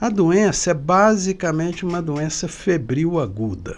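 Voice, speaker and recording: A man speaking at a very slow pace. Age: 60s. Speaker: pediatrician and epidemiologist. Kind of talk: expert interview.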